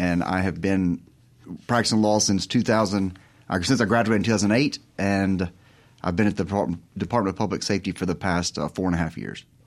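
On a very clean recording with a silent background, a man with a Southern US accent speaks at a fairly quick pace in a fairly low pitch, his intonation fairly even. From Mississippi. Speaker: lawyer. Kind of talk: radio interview. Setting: studio.

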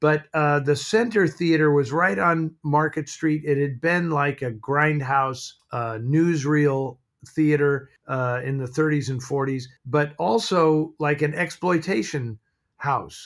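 Speaking at a very slow pace, a man has a West Coast accent. His pitch shows ordinary variation. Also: fairly high pitch for a man. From San Francisco, US. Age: 60s. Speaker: film historian and writer. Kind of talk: casual interview chat. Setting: video call from home office.

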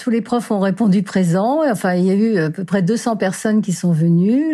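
A woman speaks in a dark, mellow tone. Her pitch is medium with ordinary variation. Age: 60s. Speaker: retired art teacher and inspector. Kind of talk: testimony.

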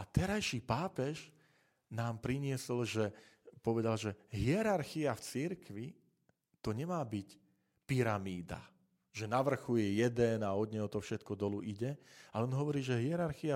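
A man with an unremarkable speaking voice talks at a moderate pace and medium pitch, his intonation lively. The recording is very clean, with a silent background. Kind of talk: monologue podcast talk on church topics.

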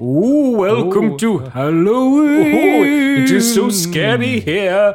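Using a put-on character voice, a man speaks at a very slow pace with a high pitch and very wide pitch swings. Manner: spooky, hand held over mouth.

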